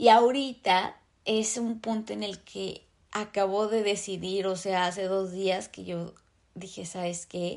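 Over a quiet background, a woman with a Mexican accent speaks very slowly with fairly even intonation. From Mexico. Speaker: podcast host. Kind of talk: casual monologue.

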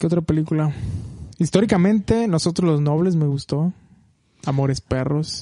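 On a dry, close recording with no echo, a man with a Mexican accent speaks in a fairly high, dark, mellow voice, leaving long, frequent pauses. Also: ordinary pitch variation, moderate pace. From Mexico, Michoacán. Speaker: film podcast co-host. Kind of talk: casual chat.

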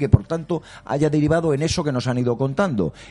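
This is a normal speaking voice. It moves at a fairly quick pace with ordinary pitch variation. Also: man. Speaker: sports journalist. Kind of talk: round-table debate. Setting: restaurant.

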